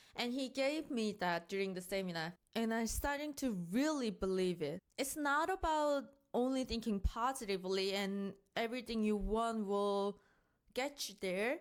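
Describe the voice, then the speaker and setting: A woman with a non-native accent is speaking. Her pitch is fairly high and her pace moderate. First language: not English. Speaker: self-improvement vlogger. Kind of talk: casual review monologue.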